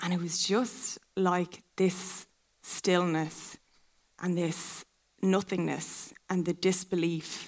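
Someone with an Irish accent talks at a very slow pace in a monotone, flat intonation. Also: woman, fairly low pitch for a woman. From County Kildare, Ireland. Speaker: pageant contestant. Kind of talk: live stage interview.

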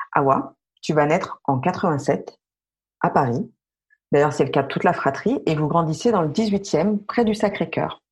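A woman with a fairly low, somewhat breathy voice, lively intonation and very even loudness, at a fairly slow pace with long, frequent pauses. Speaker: podcast host. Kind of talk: interview. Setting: remote recording.

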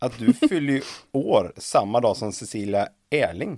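Here is a man with a normal speaking voice, pitched medium for a man. His intonation is lively, and the sound is dry and close with no echo. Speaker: podcast host. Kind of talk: interview.

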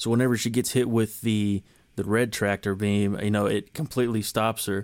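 A man talks at a fairly quick pace in a fairly low pitch, with monotone, flat intonation. The recording is very clean, with a silent background. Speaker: podcast host and voice narrator. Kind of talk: casual movie review chat.

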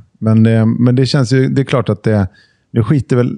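The speaker is a man. His tone is dark and mellow. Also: dry, close sound with no echo. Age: 40s. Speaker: podcast panelist. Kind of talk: casual chat.

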